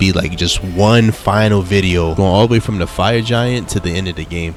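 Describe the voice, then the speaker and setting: Over noticeable background noise, a man with a very deep, low pitch talks at a fairly quick pace. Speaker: gaming YouTuber. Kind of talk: gameplay commentary. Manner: casual, slangy.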